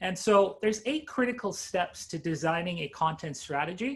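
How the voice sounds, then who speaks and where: With a Canadian accent, a man speaks in a high pitch at a moderate pace. His intonation is lively. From Canada. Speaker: digital strategist. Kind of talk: webinar presentation.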